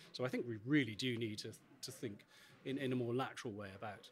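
With light background noise, a somewhat breathy man talks at a fairly quick pace. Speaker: interviewee. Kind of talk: interview answer. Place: hall. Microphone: handheld.

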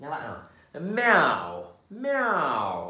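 The voice belongs to a man. The room gives off an audible echo. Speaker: English teacher. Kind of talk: English lesson for children. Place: home room.

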